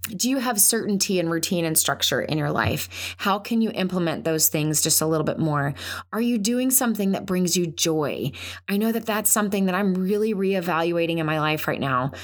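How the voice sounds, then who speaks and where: An ordinary speaking voice from a woman at medium pitch, talking at a fairly quick pace with lively intonation. Her loudness stays very even throughout. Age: 40s. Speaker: podcast host, counselor and military spouse. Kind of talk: solo podcast talk. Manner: conversational, frequent filler words.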